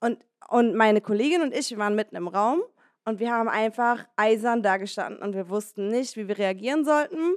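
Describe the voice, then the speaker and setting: A woman with a plain, everyday voice speaks at a moderate pace. Her pitch is fairly high, and her intonation is lively. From Berlin (Moabit). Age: 20s. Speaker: DJ. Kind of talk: live panel discussion. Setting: stage with audience.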